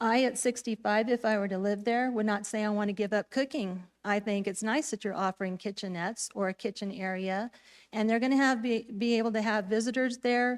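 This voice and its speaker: This woman has an unremarkable speaking voice, fairly high in pitch with fairly even intonation. She talks at a fairly quick pace in a very clean recording with a silent background. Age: 60s. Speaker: public commenter at town council. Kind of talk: public comment speech.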